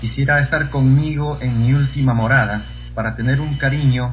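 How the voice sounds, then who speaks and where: With audible room echo and noticeable background noise behind him, a man talks at a fairly slow pace. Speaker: poetry reciter. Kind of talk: casual chat; reading aloud.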